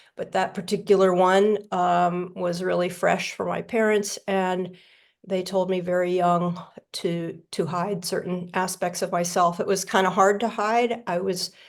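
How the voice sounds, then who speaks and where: With an American accent, a woman speaks in a monotone, flat intonation on a very clean recording with a silent background. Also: medium pitch for a woman, fairly slow pace. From South Florida, US. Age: 60s. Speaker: recovery meeting speaker. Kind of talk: testimony. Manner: halting.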